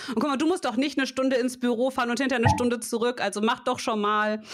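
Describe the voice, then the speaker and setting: Against noticeable background noise, a woman talks at a fairly quick pace in an animated tone, her pitch fairly high with ordinary variation. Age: 30s. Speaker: podcast co-host, logo and brand designer. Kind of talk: casual chat. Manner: animated, laughs often.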